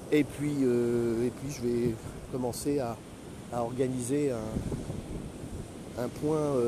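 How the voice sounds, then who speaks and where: There is audible room echo and noticeable background noise. A man of medium pitch talks at a very slow pace in a monotone, flat intonation. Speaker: retired career coach, podcaster. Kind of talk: solo podcast monologue. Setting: outdoors, walking on the beach. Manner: halting, many hesitations.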